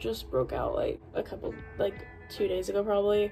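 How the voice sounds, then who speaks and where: Faint music sits in the background. A woman speaks over it at a moderate pace. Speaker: student vlogger. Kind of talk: casual vlog chat. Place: home room. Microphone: phone near.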